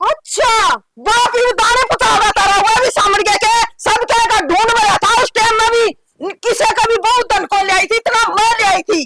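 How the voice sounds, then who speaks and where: A woman puts on a character voice at an extremely high pitch. She moves at a fairly quick pace, her loudness very even. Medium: short film. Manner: quarrelsome, indignant.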